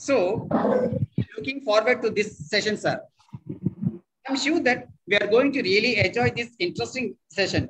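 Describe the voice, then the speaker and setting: A man with a high-pitched voice and a Tamil accent speaks at a moderate pace, with long, frequent pauses. His pitch varies in an ordinary way, and there is light background noise. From Tamil Nadu, India. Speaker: professor. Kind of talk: formal welcome address. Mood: polite, welcoming. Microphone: video call.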